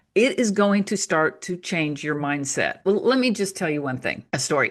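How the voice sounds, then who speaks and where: A woman's ordinary speaking voice, medium in pitch, with lively intonation over a quiet background. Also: moderate pace. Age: 60s. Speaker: author and natural health teacher. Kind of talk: casual interview chat. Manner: conversational, with frequent fillers.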